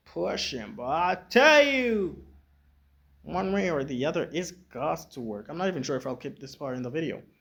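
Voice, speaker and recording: The voice is quiet, with very wide pitch swings. The recording is very clean against a silent background. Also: man. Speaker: YouTube reactor. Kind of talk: casual chat.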